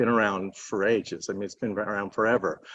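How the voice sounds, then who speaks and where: A man with a normal speaking voice talks at a fairly quick pace and fairly low pitch, with fairly even intonation. The sound is dry and close with no echo, over a quiet background. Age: 60s. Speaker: panel speaker, college teacher. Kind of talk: panel talk.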